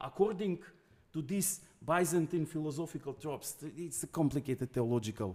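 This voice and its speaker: Over a very clean recording with a silent background, a man with a non-native accent and a dark, mellow tone speaks with lively intonation. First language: not English. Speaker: guest lecturer. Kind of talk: academic lecture. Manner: halting.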